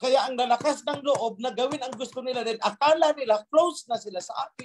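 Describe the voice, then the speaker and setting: A man's extremely high, stern voice at a very fast pace, with ordinary pitch variation and a dry, close sound with no echo. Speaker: religious leader. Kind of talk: sermon. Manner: stern, forceful.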